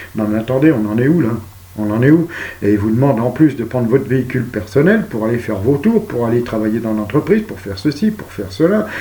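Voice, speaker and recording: A man's fairly quick speech with hardly any pauses and big swings in loudness, over noticeable background noise. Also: medium pitch for a man, ordinary pitch variation. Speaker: video blogger. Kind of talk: monologue. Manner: soft-spoken; calm.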